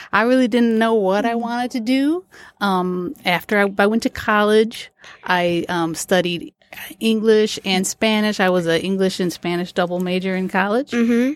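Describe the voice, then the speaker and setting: The woman's voice sits at a medium pitch with ordinary pitch variation. She talks at a moderate pace. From Port Huron, Michigan. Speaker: school assistant principal. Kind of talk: casual interview. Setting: studio.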